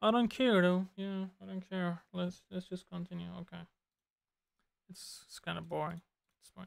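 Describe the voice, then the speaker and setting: At a moderate pace, a woman talks with big swings in loudness and long, frequent pauses. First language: Turkish. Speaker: streamer learning compositing. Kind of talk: casual live tutorial commentary. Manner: casual, code-switching Turkish and English.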